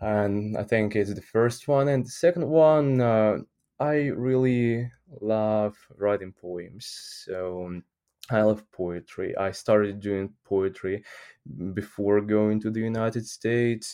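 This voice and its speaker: Speaking very slowly with a Ukrainian accent, the man has a fairly low pitch. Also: ordinary pitch variation. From Ukraine. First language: Ukrainian or Russian. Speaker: English teacher. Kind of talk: interview. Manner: halting.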